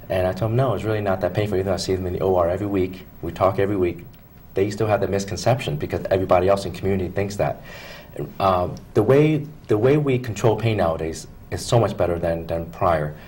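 At a very fast pace, a man with an American accent speaks in a somewhat breathy voice. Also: fairly low pitch for a man, ordinary pitch variation. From Philadelphia, Pennsylvania; Pennsylvania. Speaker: foot and ankle surgeon; guest. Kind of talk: TV interview. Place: studio. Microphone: lapel.

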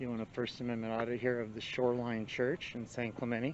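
The recording is dry with no echo and has light background noise as a man talks at a fairly quick pace. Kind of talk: casual vlog commentary. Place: street. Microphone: phone near.

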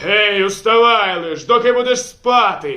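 Shouting in a put-on character voice, a man pitches high. He keeps to a fairly slow pace. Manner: harsh, commanding, yelling.

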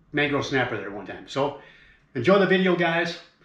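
Ordinary pitch variation at a moderate pace, with audible room echo over a quiet background. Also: man. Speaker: fishing vlogger. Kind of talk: casual vlog chat. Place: home room. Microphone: camera far.

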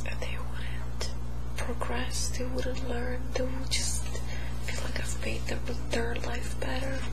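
Over loud background noise, a woman speaks at a very slow pace. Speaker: hypnosis client. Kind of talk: hypnosis session answers. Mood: emotional, pained at times. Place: home room.

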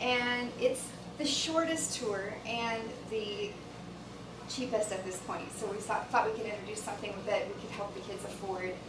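A woman talks at a moderate speed, with noticeable noise in the background. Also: ordinary pitch variation. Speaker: presenter. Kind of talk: presentation to a board. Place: meeting room. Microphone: camera far.

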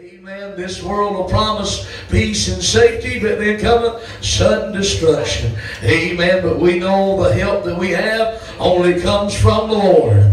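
Over light background noise and audible room echo, a man talks at a fairly slow pace. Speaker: pastor. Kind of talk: sermon. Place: church. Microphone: handheld.

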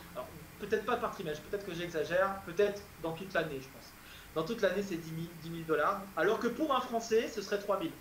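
A man with a high voice talks at a fairly quick pace, his intonation lively and his loudness swinging widely. Audible room echo and light background noise surround him. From France. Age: 20s. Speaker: PhD student and tutor; tutor. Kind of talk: interview. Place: home room. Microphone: earbuds.

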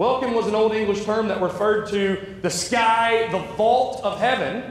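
There is light background noise and audible room echo. A man talks at a fairly slow pace. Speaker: interim pastor. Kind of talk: sermon. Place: church. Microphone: lapel.

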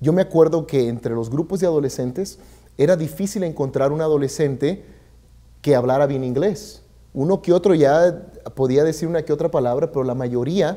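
A man's fairly high, dark and mellow voice at a fairly quick pace, with ordinary pitch variation against a quiet background. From Mexico (Michoacán). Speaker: community services director; guest. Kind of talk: interview. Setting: studio. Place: studio. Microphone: lapel.

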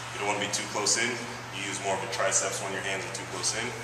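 A man is speaking. Room echo is audible, and there is noticeable background noise. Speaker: fitness instructor. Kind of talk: tutorial. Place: gym.

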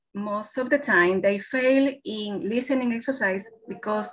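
Over light background noise, a woman with a Spanish accent talks at a fairly slow pace in a fairly high voice with lively intonation. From Ecuador. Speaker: English teacher. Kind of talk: webinar presentation. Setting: video call. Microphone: webcam.

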